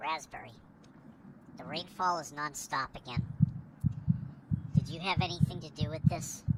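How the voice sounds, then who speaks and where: A man's put-on character voice, fairly high in pitch, at a moderate pace with long, frequent pauses over clear background noise. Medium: game stream. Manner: cold, accusing.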